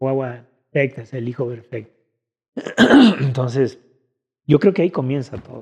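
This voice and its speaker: A man's medium-pitched, dark, mellow voice, somewhat breathy, at a moderate pace with ordinary pitch variation and long, frequent pauses. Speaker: musician and drummer. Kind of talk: casual chat interview.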